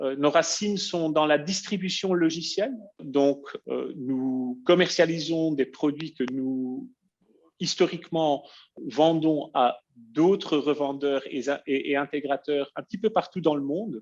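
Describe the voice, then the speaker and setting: Against a quiet background, a man with a non-native accent speaks at a very slow pace in a fairly high pitch with ordinary pitch variation. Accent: noticeable foreign accent in French. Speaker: software company presenter. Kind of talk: webinar presentation. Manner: halting, many filler hesitations.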